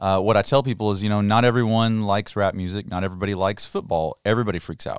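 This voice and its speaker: A man with a Kentucky accent talks at a very fast pace with hardly any pauses, his pitch fairly low and intonation fairly even. The recording is very clean, with a silent background. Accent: Kentucky Southern US. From Kentucky, Muhlenberg County. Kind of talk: casual interview. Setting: studio.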